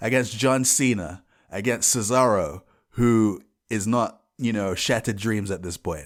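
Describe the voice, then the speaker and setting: Spoken in a London accent, the voice moves at a fairly slow pace with ordinary pitch variation. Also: man. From England, London. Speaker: podcast host. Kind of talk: casual solo podcast.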